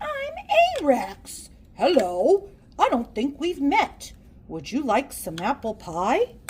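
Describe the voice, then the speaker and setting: This put-on character voice sits high in pitch and moves at a fairly slow pace. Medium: read story. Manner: cheerful, welcoming.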